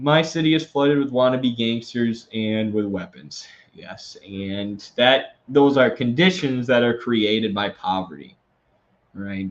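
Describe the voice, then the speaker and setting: The speaker has an American accent and lively intonation. The pace is fairly slow. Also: man, medium pitch for a man. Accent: Wisconsin accent, slight, comes out at times. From Wisconsin, US Midwest. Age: 20s. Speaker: political commentator, live streamer. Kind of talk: live stream, reading and answering super chats. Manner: casual, many fillers.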